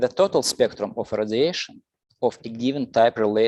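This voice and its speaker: With music in the background, a man speaks with a Russian accent, the sound dry and close with no echo. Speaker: lecturer. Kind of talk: lecture. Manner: slow; halting.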